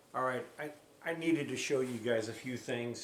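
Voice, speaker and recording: At a fairly slow pace, a man speaks in a medium pitch. Noticeable background noise and audible room echo fill the recording. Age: 60s. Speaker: drywall contractor YouTuber doing product review. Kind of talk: product review tutorial. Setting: at home. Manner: casual, repetitive with frequent self-restarts.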